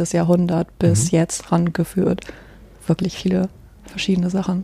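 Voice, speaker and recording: Flat, monotone intonation marks this woman's speech. Her pitch sits in the medium range. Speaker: archaeology student and museum digitization worker. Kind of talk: casual chat.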